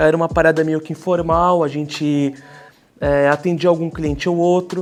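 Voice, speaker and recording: Over noticeable background noise, a man with a high pitch talks at a fairly slow pace in a monotone, flat intonation. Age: 20s. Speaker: graphic designer, design studio co-founder. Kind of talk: documentary interview. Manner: casual, conversational.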